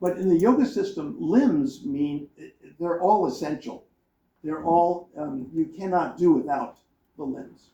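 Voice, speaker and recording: Speaking at a fairly slow pace, a man with a high pitch and a dark, mellow tone uses lively intonation. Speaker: professor reviewing a book on a panel. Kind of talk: academic panel talk. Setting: conference panel with audience. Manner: mumbling; halting, many repeated words.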